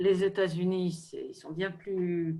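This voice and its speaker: In a flat monotone, a woman speaks at a fairly low pitch. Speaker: equine therapy expert. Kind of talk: online panel discussion. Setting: video call. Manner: halting, many hesitations.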